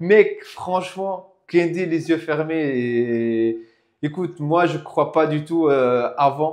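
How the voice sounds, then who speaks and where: This man talks very slowly in a fairly high voice, his intonation shifting in a typical way. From Tunisia (Tunis). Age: young. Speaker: IT freelancer, property investor. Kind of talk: casual interview. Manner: halting.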